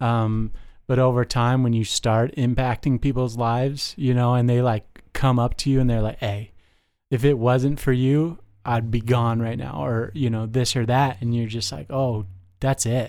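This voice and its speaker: A man speaks at a moderate pace with a normal speaking voice and an American accent, his pitch medium. His intonation is fairly even, and the recording is very clean with a silent background. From Las Vegas, US. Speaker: detox supervisor in addiction treatment, in recovery. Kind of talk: casual chat.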